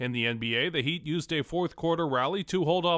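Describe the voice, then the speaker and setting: A man's fairly high-pitched, fairly quick voice with ordinary pitch variation, a plain, everyday voice. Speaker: sports news correspondent / anchor. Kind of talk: radio sports newscast read.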